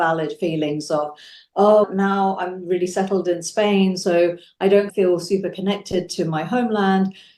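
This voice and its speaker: A woman speaks at a fairly slow pace with a British accent, her medium pitch carried on fairly even intonation. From England and India. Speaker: science journalist. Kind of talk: interview.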